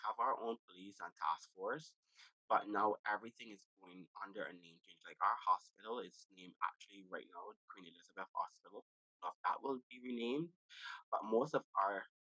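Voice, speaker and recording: Recorded with a dry, close sound with no echo, a man speaks in a Barbadian accent. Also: moderate pace, big swings in loudness. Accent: Barbadian (Bajan) English. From Barbados. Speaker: podcast host. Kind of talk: casual chat.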